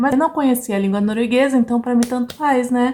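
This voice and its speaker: Ordinary pitch variation marks a woman's high voice. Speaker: vlogger. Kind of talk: casual vlog talk. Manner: animated.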